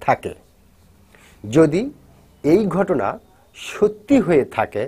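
A man speaks with very wide pitch swings. His tone is dark and mellow. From Bangladesh. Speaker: YouTube news commentator. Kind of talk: news commentary vlog addressed to viewers. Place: studio. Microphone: lapel.

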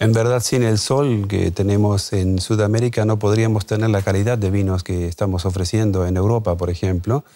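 A man's fairly low voice with a dark, mellow tone, very even loudness, fairly even intonation, a moderate pace and hardly any pauses, against a quiet background. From Argentina, Chaco (north); Argentina. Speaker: wine importer and expert; interview guest. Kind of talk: TV interview. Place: studio. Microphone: lapel.

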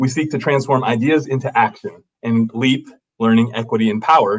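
The background stays quiet. A man is the one talking. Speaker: webinar host. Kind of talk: scripted introduction. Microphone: webcam.

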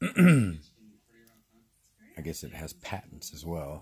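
A man's very deep, low voice comes across somewhat breathy. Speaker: vlogger. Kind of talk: casual vlog update. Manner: hesitant, many fillers.

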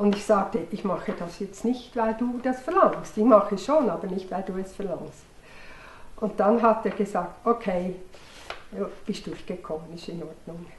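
A woman speaks at a moderate pace with ordinary pitch variation and big swings in loudness, over light background noise and audible room echo. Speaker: early member of a psychology training group; interviewee. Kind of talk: documentary interview.

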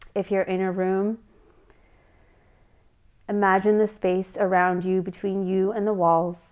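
Soft-spoken and calm in tone, a woman talks at a medium pitch with monotone, flat intonation over a quiet background. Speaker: meditation guide. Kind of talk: guided meditation. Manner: calm, soft-spoken, slow. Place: home room.

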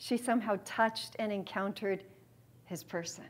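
Somewhat breathy, a woman speaks with an American accent. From San Diego, California; California. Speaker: theology speaker; speaker. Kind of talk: lecture. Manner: animated. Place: meeting room.

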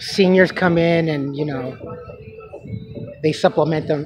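Dry sound with no echo, plus noticeable background noise. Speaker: vlogger. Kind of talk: casual vlog chat. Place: market. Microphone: phone near.

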